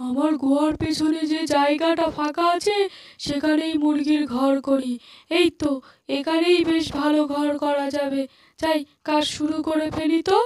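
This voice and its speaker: A cartoonish character voice at a high pitch moves along at a moderate pace. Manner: gleeful, muttering to himself.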